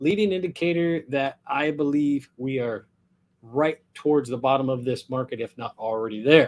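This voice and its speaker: A man speaks at a moderate pace with an American accent, his pitch swinging very widely. The recording is very clean, with a silent background. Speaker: real estate agent. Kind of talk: market update vlog. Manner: casual.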